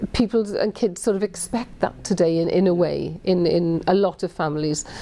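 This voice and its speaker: A woman's fairly low, dark and mellow voice in a Welsh accent, at a moderate pace with ordinary pitch variation. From Wales. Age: 50s. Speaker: politician. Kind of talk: interview answer. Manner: conversational with hesitations.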